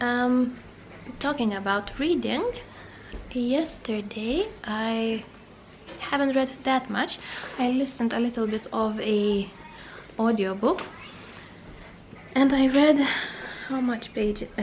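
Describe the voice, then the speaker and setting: Speaking very slowly with long, frequent pauses, a woman with a non-native accent uses a high pitch and ordinary pitch variation. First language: not English. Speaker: booktuber. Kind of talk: casual vlog. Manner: halting.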